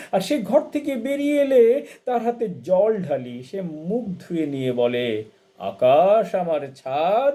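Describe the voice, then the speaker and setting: This man's voice sits high in pitch and has a dark, mellow tone. His pitch swings very widely. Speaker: poet and translator reciting poetry. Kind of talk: poetry reading.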